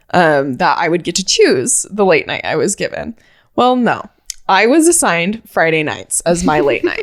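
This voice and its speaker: A woman mumbles. Her pace is moderate. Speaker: podcast co-host. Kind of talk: casual chat. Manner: mumbling.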